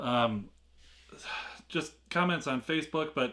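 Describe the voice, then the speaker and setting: Recorded very cleanly against a silent background, a man with a bright, sharp tone and fairly high pitch speaks with ordinary pitch variation. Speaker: unboxing video host. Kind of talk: casual unboxing vlog.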